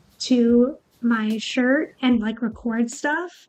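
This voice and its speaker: A woman's high-pitched voice. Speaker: streamer. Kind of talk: casual chat. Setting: live stream. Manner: halting.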